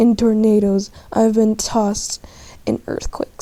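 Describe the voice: Reading aloud, plainly done.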